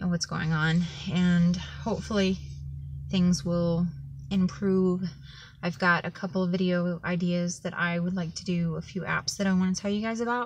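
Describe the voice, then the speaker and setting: Somewhat breathy, a woman speaks at a moderate pace with fairly even intonation. Light background noise sits underneath. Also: fairly low pitch for a woman. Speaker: vlogger. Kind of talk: personal vlog update. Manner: monotone. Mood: low, subdued, heartfelt. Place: car. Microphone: phone near.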